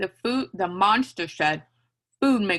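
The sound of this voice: An unforced reading voice with lively intonation is heard over a quiet background.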